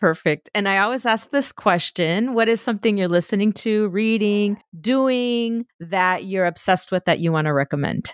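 A woman with an ordinary speaking voice talks at medium pitch and a moderate pace, with ordinary pitch variation and hardly any pauses. Her loudness is very even, and the recording is very clean with a silent background. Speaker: podcast host. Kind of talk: interview.

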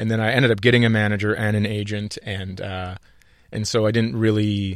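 On a very clean recording with a silent background, a man with an American accent speaks in a fairly low pitch. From northern Minnesota, US Midwest. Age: 40s. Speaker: stand-up comedian. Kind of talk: casual interview chat. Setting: radio studio.

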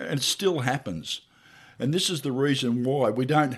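A man with a fairly high pitch speaks in an Australian accent on a very clean recording with a silent background. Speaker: truck driver and podcast co-host. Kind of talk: casual interview chat.

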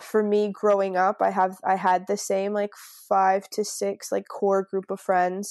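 A woman with a Canadian accent speaks at a fairly slow pace in a monotone, flat intonation at medium pitch, against a quiet background with a dry, close sound and no echo. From Canada, Niagara Falls (Ontario). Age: 20s. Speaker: travel entrepreneur, digital nomad. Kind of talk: casual interview chat.

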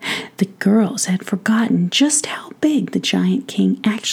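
The speaker reads plainly aloud. Nothing more is layered onto the reading.

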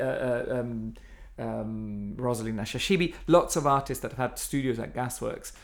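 The speaker has an Italian accent and talks at a fairly slow pace. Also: man. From Italy. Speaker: art centre director. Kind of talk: interview. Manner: halting.

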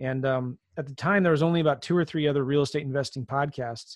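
Fairly high in pitch, a man with a plain, everyday voice talks at a fairly quick pace with fairly even intonation. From Southern California, moved a lot. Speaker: real estate investor and podcaster. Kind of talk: interview conversation.

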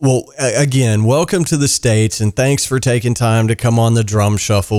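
Using an ordinary speaking voice, a man speaks at a medium pitch with ordinary pitch variation. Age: 40s. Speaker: podcast host and drummer. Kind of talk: casual interview.

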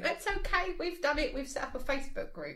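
A put-on character voice with a high pitch runs at a fairly quick pace. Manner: smug, dismissive.

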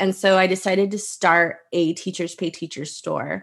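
A woman speaks with a Texan accent. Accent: Texan American English. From Texas. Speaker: teacher and online resource seller. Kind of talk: interview.

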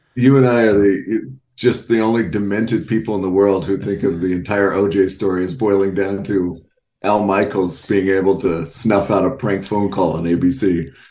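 With an American accent, a man speaks at a fairly low pitch in a dark, mellow tone. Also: ordinary pitch variation, moderate pace. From North Texas. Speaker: sports media writer. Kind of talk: casual chat. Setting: podcast.

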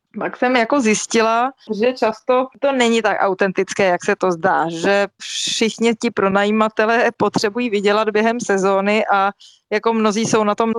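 Using a plain, everyday voice, a woman talks at a moderate pace and a fairly high pitch with fairly even intonation, in a dry, close sound with no echo. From Czech Republic. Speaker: lawyer and author. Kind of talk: interview.

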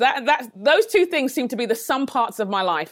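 A woman with a London accent speaks at a fairly quick pace with very wide pitch swings, in a very clean recording with a silent background. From England, London. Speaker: leadership trainer and author. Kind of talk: podcast interview.

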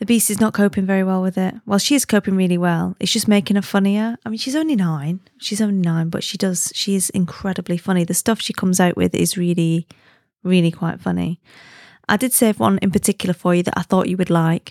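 On a very clean recording with a silent background and a dry, close sound with no echo, a woman at medium pitch speaks at a fairly quick pace with fairly even intonation and a slightly mellow tone.

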